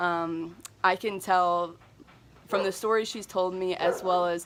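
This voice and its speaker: A woman with monotone, flat intonation. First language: not Spanish; speaks a little Spanish. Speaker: missions vlogger. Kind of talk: vlog narration.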